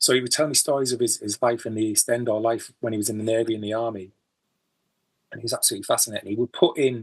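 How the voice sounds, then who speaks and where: A man talks at a very fast pace with a Teesside accent. His intonation stays fairly even. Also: medium pitch for a man. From Teesside, northeast England. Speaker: musician. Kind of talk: interview. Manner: halting.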